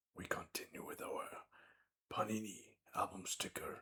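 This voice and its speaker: A whisper at a fairly slow pace. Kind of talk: ASMR sticker pack opening commentary. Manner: soft-spoken, whispering.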